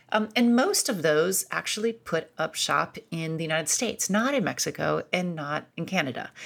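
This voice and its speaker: Speaking in an American accent, a woman with a fairly low pitch shows vocal fry and lively intonation. She keeps a moderate pace with hardly any pauses, on a very clean recording with a silent background. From US Midwest (Akron, Ohio). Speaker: author and foreign policy scholar. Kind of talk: interview.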